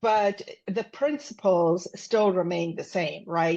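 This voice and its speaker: A woman with a South African accent, a medium pitch and a fairly slow pace. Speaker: business consultant and executive coach. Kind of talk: podcast interview. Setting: podcast.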